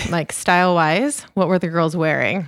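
A woman with a medium pitch talks at a moderate pace in an unremarkable speaking voice. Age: 30s. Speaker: podcast co-host, hockey wife. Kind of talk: casual podcast chat.

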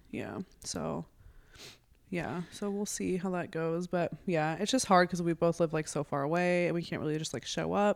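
In a normal speaking voice, a woman talks at a moderate pace with a fairly low pitch and ordinary pitch variation, on a very clean recording with a silent background. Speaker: podcast guest, host's older sister. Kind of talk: casual chat. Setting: podcast recording.

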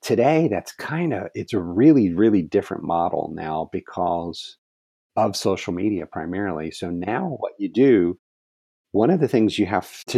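A plain, everyday voice from a man, fairly low in pitch with lively intonation, in a dry, close sound with no echo. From Ohio. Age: 50s. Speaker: craft company executive. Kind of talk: interview.

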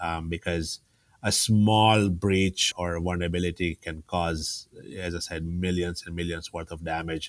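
A man speaks at a fairly slow pace with a very deep, low pitch and a monotone, flat intonation. The recording is very clean, with a silent background. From Tanzania. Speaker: IT services company president. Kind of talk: interview conversation. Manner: halting, frequent word repetitions.

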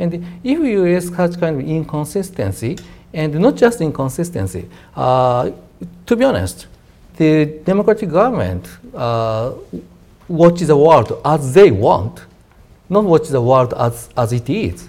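A man with a Japanese accent and a dark, mellow tone, fairly high in pitch, with very wide pitch swings, a fairly slow pace and long, frequent pauses. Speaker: defense policy researcher. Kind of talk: panel discussion.

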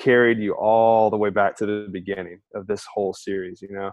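At a moderate pace, a man with an American accent speaks in a normal speaking voice at a medium pitch. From Alabama, US South. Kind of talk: casual chat.

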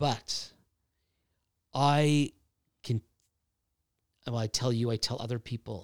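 Dry and close with no echo, a man speaks at a very slow pace in a medium pitch with fairly even intonation. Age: 60s. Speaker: speaker and writer on faith. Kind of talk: podcast interview, personal testimony. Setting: in person in Ottawa.

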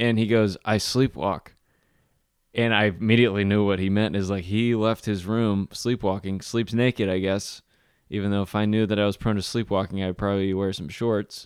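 A man is speaking here. His voice is fairly low in pitch, with fairly even intonation. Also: moderate pace, very clean recording, silent background. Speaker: podcast co-host. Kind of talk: casual chat. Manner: monotone.

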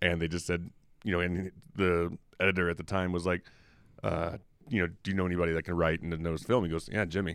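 In a very clean recording with a silent background, a man with an American accent speaks at a very fast pace with long, frequent pauses, a very deep, low pitch and fairly even intonation. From US South, Memphis. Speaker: film critic. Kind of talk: casual chat.

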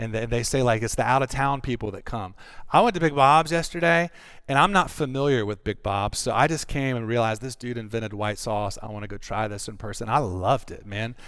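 A man with a Southern US accent speaks at a fairly quick pace with ordinary pitch variation, on a very clean recording with a silent background. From North Carolina. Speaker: pastor. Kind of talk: sermon. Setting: church.

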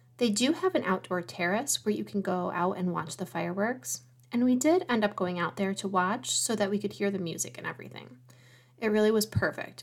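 Lively intonation and vocal fry run through speech delivered at a fairly quick pace. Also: woman. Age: 40s. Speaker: travel planner podcast host. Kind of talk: solo podcast monologue.

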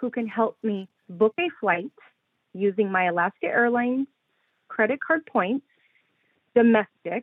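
Medium-pitched woman with ordinary pitch variation and long, frequent pauses, in a dry, close sound with no echo. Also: fairly slow pace.

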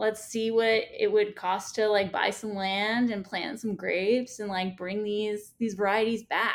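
A woman with an American accent speaks at a fairly slow pace with hardly any pauses. Her intonation is monotone and flat. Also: fairly high pitch for a woman. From Staten Island, New York. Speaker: vineyard founder. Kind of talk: casual interview.

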